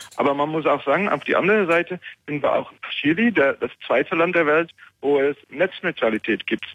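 A man with a non-native accent at a moderate pace. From Netherlands. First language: Dutch (speaking German). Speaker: caller, hosting provider worker. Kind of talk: call-in. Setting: phone call. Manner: halting.

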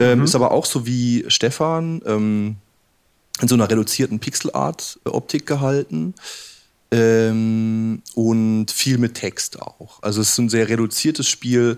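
Here is a man with an unremarkable speaking voice, pitched in the medium range with ordinary variation. He goes at a fairly slow pace. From southern Germany. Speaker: game developer. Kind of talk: casual chat. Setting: live radio studio with audience.

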